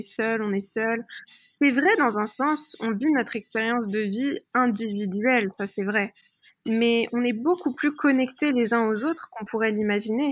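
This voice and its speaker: The recording is very clean, with a silent background. A woman speaks at a fairly high pitch and fairly slow pace, with ordinary pitch variation. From France, Paris area. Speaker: personal development coach. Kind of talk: interview. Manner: hesitant, many fillers.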